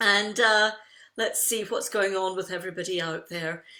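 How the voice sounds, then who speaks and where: A woman with a Scottish accent and a bright, sharp tone speaks at a fairly slow pace in a very clean recording with a silent background. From Scotland. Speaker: tapping coach running live online sessions. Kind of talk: guided breathing exercise and group session.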